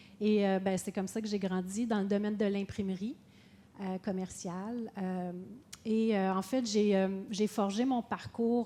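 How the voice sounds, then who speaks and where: The voice has a Quebec accent and a dark, mellow tone. It moves at a fairly slow pace with monotone, flat intonation. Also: woman. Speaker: businesswoman, panelist. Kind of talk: panel talk. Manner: hesitant, many fillers.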